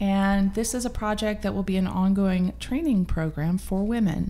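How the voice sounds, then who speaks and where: Delivered in a plain, everyday voice with an American accent, the speech moves at a moderate pace with fairly even intonation. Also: woman. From US Midwest. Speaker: nonprofit meal program founder. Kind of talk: casual interview.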